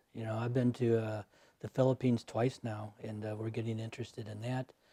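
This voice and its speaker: A man with a medium-pitched, dark, mellow, somewhat breathy voice talks at a fairly quick pace in a flat monotone, captured with a dry, close sound and no echo. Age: 70s. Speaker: army veteran and volunteer remains-recovery searcher. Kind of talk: interview conversation.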